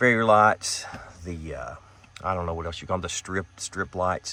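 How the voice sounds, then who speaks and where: A fairly low-pitched man with a Western Kentucky accent and a bright, sharp tone. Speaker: van camping vlogger. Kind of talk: casual tutorial vlog. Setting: inside a camper van. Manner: casual, hesitant with fillers.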